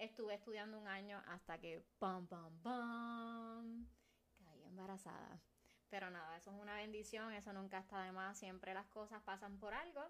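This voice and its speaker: A woman with a Puerto Rican accent and an animated tone talks at a moderate pace, medium in pitch with ordinary pitch variation. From Puerto Rico, Carolina. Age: 20s. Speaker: podcast co-host. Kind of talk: casual chat. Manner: animated, laughing often.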